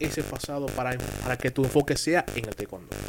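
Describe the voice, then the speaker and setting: Noticeable noise sits in the background. Over it, a man speaks at a moderate pace. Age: young. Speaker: radio sports host. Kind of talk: radio interview. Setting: radio studio.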